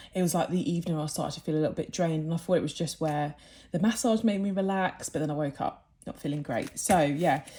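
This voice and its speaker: A woman with a British accent speaks very fast, her pitch very deep and low. Her tone is dark and mellow, with ordinary pitch variation. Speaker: budgeting vlogger. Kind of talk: casual vlog talk.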